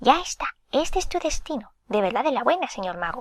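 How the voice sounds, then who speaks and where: In a put-on character voice, a woman speaks fairly quickly at a high pitch with very wide pitch swings. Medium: read story. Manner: cheery, folksy.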